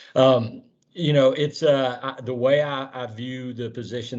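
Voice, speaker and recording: A man with a Southern US accent speaks in a monotone, flat intonation. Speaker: disaster relief organization executive. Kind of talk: virtual all-hands meeting address. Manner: halting, many fillers.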